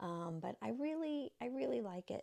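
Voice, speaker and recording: A woman with an American accent speaks fairly slowly in a dark, mellow tone, her pitch swinging very widely. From US Midwest, southern Illinois near St. Louis. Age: 60s. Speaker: lifestyle vlogger. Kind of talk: casual talk to camera. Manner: hesitant, many fillers.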